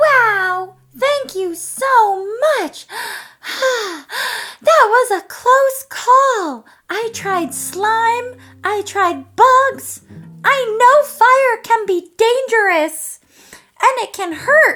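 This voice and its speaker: A cartoonish character voice drawls at a very slow pace with an extremely high pitch. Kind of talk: children's puppet show. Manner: excitable, playful.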